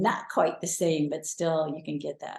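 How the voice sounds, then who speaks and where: Her tone is dark and mellow, and somewhat breathy. The woman speaks at a fairly slow pace. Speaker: amateur cyclocross racer. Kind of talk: interview.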